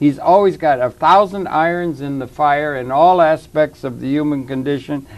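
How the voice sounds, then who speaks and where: There is hardly a pause as a man speaks at a moderate pace in a fairly high pitch. He has a plain, everyday voice with ordinary pitch variation. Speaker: talk show host. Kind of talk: TV interview host talk. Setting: studio.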